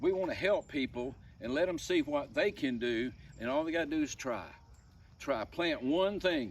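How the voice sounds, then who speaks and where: This man talks at a fairly high pitch with an Alabama accent. His intonation is lively and his pace fairly slow. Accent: Southern US (Alabama). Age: 70s. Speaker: homesteader. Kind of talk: casual vlog talk. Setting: outdoors.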